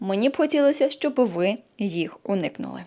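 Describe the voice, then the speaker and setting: A woman with an ordinary speaking voice talks at a fairly slow pace in a fairly high pitch with lively intonation, on a very clean recording with a silent background. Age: 30s. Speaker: nutrition blogger and yoga channel host. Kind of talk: vlog monologue to camera.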